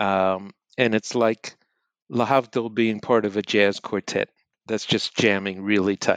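With an American accent, a man with a fairly low voice speaks fairly slowly in a monotone, flat way, recorded with a dry, close sound, no echo and a quiet background. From New Jersey, US. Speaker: professor and author. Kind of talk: interview. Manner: halting.

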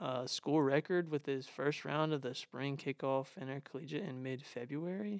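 Recorded with a dry, close sound with no echo, a man speaks in a plain, everyday voice at a moderate pace, fairly high in pitch with ordinary pitch variation and hardly any pauses. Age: young. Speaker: podcast host. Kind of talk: casual chat.

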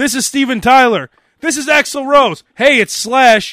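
A man's raised, projected voice at an extremely high pitch, moderate in pace, dry and close with no echo. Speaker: podcast host. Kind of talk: casual comedic banter; mock radio DJ patter, comedic bit. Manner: joking, bantering.

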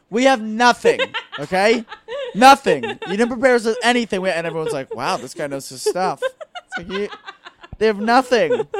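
A man's high-pitched voice with an American accent and lively intonation, at a moderate pace with long, frequent pauses and big swings in loudness. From New Jersey, near New York City. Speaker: stand-up comedian. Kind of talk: casual chat. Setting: home couch.

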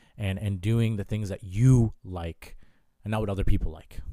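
Over a very clean recording with a silent background, a man speaks in a dark, mellow tone. His pitch is fairly low and his pace moderate. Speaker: college student and clothing brand co-founder. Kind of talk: casual interview chat.

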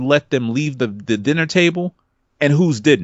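This is a plain, everyday voice from a man, pitched fairly high. His intonation is lively. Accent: American. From New York, Brooklyn. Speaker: podcaster. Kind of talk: casual chat.

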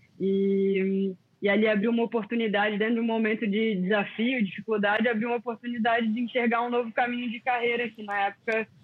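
Against noticeable background noise, a woman with a fairly high pitch talks at a fairly quick pace with hardly any pauses, in a monotone, flat intonation. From Brazil, Florianópolis (born in Rio). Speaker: former pro surfer. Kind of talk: casual chat.

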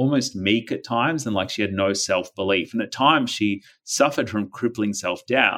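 With an Australian accent, a man talks in a fairly low pitch with a bright, sharp tone and ordinary pitch variation on a very clean recording with a silent background. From Australia, Melbourne suburbs. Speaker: anti-violence campaigner and author. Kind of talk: casual interview conversation.

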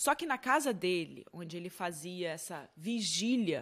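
The speaker uses lively intonation at a fairly slow pace, recorded very cleanly against a silent background. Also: woman. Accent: Brazilian. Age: 20s. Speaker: true crime podcast host. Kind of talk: true crime storytelling narration. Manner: conversational, chatty asides.

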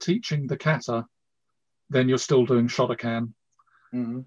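A man's somewhat breathy, medium-pitched voice at a moderate pace, fairly even in intonation, with a dry, close sound and no echo. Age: 60s. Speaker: karate instructor. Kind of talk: casual chat.

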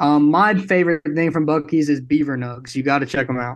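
Against a quiet background, a man with an American accent speaks in a normal speaking voice. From Brooklyn, New York. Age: young. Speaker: apparel company founder. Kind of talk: casual interview.

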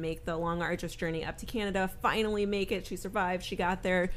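A woman with an ordinary speaking voice talks at a fairly quick pace, her medium pitch held in fairly even intonation. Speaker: podcast co-host. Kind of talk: casual chat.

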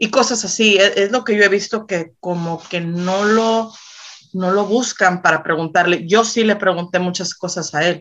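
A woman's normal speaking voice at medium pitch, fairly slow, with fairly even intonation. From northern Mexico, Reynosa, Tamaulipas. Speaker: corrido singer-songwriter. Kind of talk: casual interview chat.

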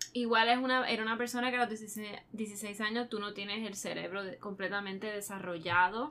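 Over noticeable background noise, a woman at medium pitch talks at a fairly slow pace with fairly even intonation. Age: 20s. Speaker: true crime podcast co-host. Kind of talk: casual chat.

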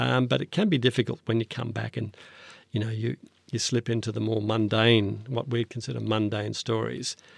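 The speaker has an Australian accent, vocal fry and fairly even intonation, heard in a dry, close sound with no echo over a quiet background. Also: man, medium pitch for a man, moderate pace. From Australia, northern New South Wales then Canberra. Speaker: foreign correspondent. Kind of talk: interview. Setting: studio.

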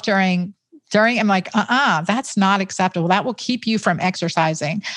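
At a moderate pace, a woman talks in an unremarkable speaking voice with a medium pitch and ordinary pitch variation. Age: 50s. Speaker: physician, gynecologist and author. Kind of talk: interview.

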